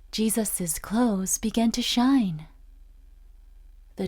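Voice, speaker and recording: Somewhat breathy, a woman speaks at a very slow pace with ordinary pitch variation. The recording is very clean, with a silent background. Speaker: voice actress. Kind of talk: children's Bible story narration.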